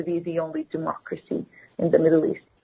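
The speaker has an Arabic accent. The pace is fairly quick. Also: woman. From West Bank, Palestine. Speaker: student and activist. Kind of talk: radio interview.

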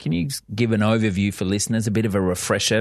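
Against a quiet background, a man with an Australian accent talks with fairly even intonation. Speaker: radio host. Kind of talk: radio interview. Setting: studio.

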